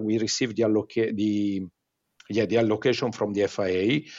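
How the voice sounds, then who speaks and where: A man with an Italian accent speaks at medium pitch with fairly even intonation. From Italy. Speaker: motorsport tire company executive. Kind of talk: interview. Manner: halting with frequent fillers.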